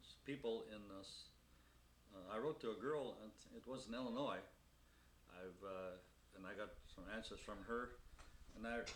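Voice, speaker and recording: The speaker has an American accent and a moderate pace with ordinary pitch variation. Long, frequent pauses break up the speech, and room echo is audible. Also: man, medium pitch for a man. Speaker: elderly interviewee recalling his life. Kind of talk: oral history interview. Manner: halting, many fillers.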